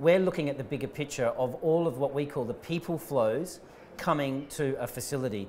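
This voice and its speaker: A man's fairly high voice with an Australian accent, ordinary pitch variation and a fairly quick pace. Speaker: tech company founder and CEO. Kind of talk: interview.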